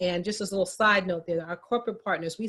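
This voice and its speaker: A woman with a fairly low pitch speaks using fairly even intonation. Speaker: minority business advocacy organization representative. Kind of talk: panel presentation. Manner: fast.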